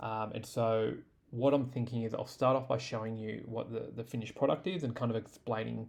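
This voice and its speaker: A man with an Australian accent talks at a fairly quick pace, keeping a medium pitch and fairly even intonation. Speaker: tech tutorial creator. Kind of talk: tutorial. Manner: casual, many fillers (um, uh).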